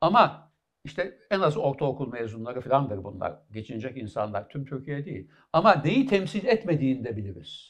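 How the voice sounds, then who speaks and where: Against a quiet background, a man speaks at a moderate pace in a fairly high, somewhat breathy voice. His pitch swings very widely. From Istanbul, Turkey (Kadıköy); Turkey. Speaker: professor of medicine; interview guest, professor. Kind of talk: interview. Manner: halting, many fillers. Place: studio. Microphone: headset.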